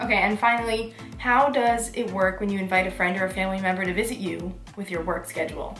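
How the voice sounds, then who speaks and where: Very fast speech with ordinary pitch variation comes through audible room echo and noticeable background noise. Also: woman. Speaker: vlogger. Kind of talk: casual Q&A vlog. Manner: animated.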